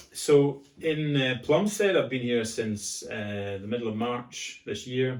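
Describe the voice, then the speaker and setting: Speaking with a Scottish accent, a man goes at a fairly slow pace with fairly even intonation. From Scotland, Glasgow. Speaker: pastor, former rugby player. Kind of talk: casual chat.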